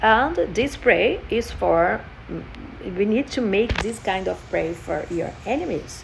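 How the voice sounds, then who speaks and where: A woman speaks at a very slow pace with a Portuguese accent. Noticeable background noise runs behind her. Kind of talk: personal testimony vlog. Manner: halting, many fillers.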